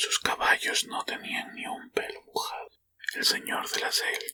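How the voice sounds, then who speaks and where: In a dry, close recording with no echo, a man whispers. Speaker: ASMR reader and channel host. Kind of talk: whispered short-story reading for sleep and relaxation. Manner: whispered, soft.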